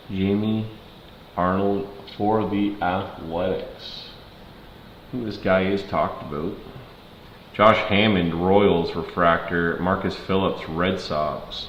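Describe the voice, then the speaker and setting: A man with an American accent speaks at a very slow pace, with long, frequent pauses and monotone, flat intonation. His fairly low voice comes with audible room echo and noticeable background noise. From Ontario, Canada. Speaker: card break streamer. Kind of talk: live card break stream. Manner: casual, chatty.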